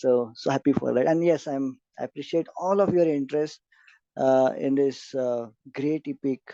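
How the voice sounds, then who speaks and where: Speaking at a moderate pace with an Indian accent, a man with a fairly high pitch and a dark, mellow tone keeps fairly even intonation, the sound dry and close with no echo over a quiet background. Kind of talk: lecture. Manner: hesitant, many fillers.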